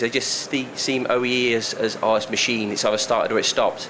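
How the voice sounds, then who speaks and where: This man talks at a very fast pace. There is noticeable background noise behind him. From UK. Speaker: software consultant presenter. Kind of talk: presentation to live audience. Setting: room with audience.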